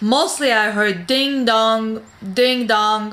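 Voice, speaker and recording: Very slow speech in a put-on character voice. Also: woman, fairly high pitch for a woman. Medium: read story.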